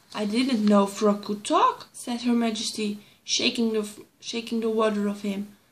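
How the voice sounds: This is a natural reading voice. It reads the words through.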